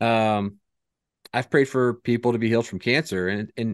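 In a quiet background, a man talks in a plain, everyday voice with fairly low pitch. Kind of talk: casual chat.

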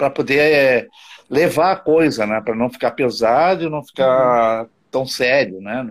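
A man talks in a plain, everyday voice at a medium pitch. His pace is fairly slow and his pitch varies in an ordinary way. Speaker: saxophonist, liver transplant recipient. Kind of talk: casual chat.

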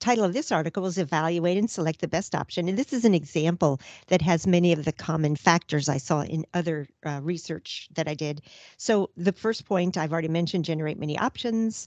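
Fairly quick and fairly low-pitched, a woman talks in a plain, everyday voice with ordinary pitch variation. The sound is dry and close with no echo, and the background is quiet. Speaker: podcast co-host. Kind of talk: casual chat.

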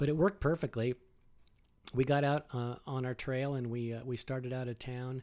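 With a normal speaking voice, a man talks at a moderate pace and medium pitch with fairly even intonation. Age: 60s. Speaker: financial advisor. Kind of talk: casual chat. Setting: home office.

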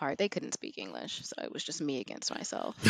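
With an American accent, a woman talks at a moderate pace with lively intonation, the sound dry and close with no echo. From Houston, Texas. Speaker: traveler and teacher abroad. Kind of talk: casual chat.

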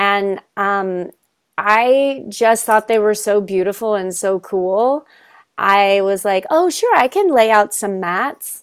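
A medium-pitched woman's voice with an American accent, at a very slow pace. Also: ordinary pitch variation. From Kentucky, US. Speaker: yoga teacher. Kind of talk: online panel discussion. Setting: video call.

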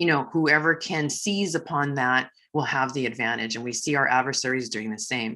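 Her pitch very deep and low, a woman with a bright, sharp tone speaks at a moderate pace with ordinary pitch variation. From Hawaii. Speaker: retired army general. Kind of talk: interview. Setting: studio.

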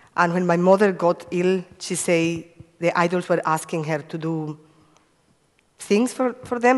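A woman speaks in a Spanish accent. Her pitch sits fairly low, with ordinary variation. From Cuba. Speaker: evangelist. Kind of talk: testimony. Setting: church.

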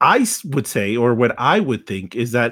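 A man with a plain, everyday voice of medium pitch talks at a fairly slow pace with lively intonation in a very clean recording with a silent background. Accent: American. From Texas. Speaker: podcast host. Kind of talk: casual chat.

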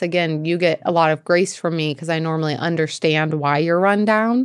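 Fairly low in pitch with ordinary pitch variation, a woman talks at a moderate pace in a very clean recording with a silent background. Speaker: podcast co-host, business owner. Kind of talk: casual chat. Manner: loud.

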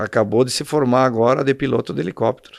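A man's medium-pitched, normal speaking voice at a moderate pace, against a quiet background. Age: 60s. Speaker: endurance horse rider and shopkeeper. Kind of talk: casual interview. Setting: in his shop.

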